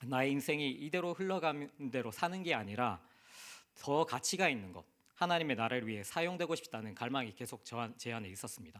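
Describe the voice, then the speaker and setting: Talking at a fairly quick pace, a man lets his pitch swing very widely. The recording is very clean, with a silent background. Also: medium pitch for a man. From South Korea, Busan. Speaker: missionary. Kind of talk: sermon.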